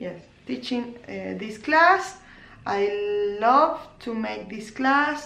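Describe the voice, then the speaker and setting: A woman's fairly high, bright and sharp voice at a very slow pace, with audible room echo. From Argentina, Córdoba. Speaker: knitting podcaster and crochet teacher. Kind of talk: casual vlog podcast. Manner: halting, many fillers and restarts.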